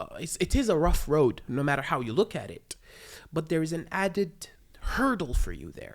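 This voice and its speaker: A woman with an Arabic accent talks at a moderate pace with a fairly low pitch. Her voice has very wide pitch swings and big swings in loudness. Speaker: stand-up comedian. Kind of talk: casual chat. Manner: stammers.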